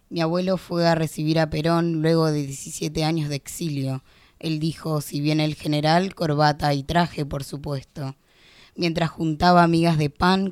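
Very clean recording, silent background, and a woman with a Rioplatense accent. Her very deep, low voice moves at a fairly slow pace in monotone, flat intonation. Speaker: poet and law student. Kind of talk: spoken word poetry reading, narrative verse. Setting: radio studio. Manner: vivid, rhythmic, expressive storytelling.

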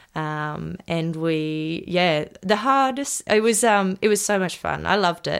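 With an Australian accent and lively intonation, a woman talks at a fairly slow pace in a very clean recording with a silent background. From Australia, Sunshine Coast Queensland. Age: 20s. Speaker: young country musician. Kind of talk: interview. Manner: hesitant, many ums.

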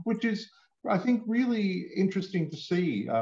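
A man speaks with an Australian accent at a fairly slow pace. His voice is somewhat breathy. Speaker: comics writer and author. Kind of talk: interview.

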